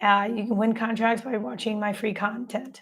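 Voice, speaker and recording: A woman speaks at a moderate pace in a fairly high, somewhat breathy voice. Her intonation stays fairly even. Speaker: government contracting coach. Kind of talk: live stream teaching. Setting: live stream.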